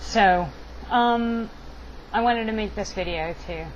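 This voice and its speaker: A woman speaks at a very slow pace. Audible room echo and noticeable background noise surround her voice. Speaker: video blogger. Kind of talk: casual vlog monologue. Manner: halting.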